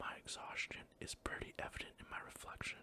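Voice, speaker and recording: The speaker is whispering. The pace is moderate. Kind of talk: audiobook-style reading aloud of a romance novel.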